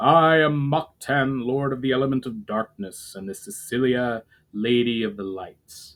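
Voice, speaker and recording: A man puts on a character voice at medium pitch, resonant and with ordinary pitch variation. He speaks at a moderate pace. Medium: read story. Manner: formal, grave.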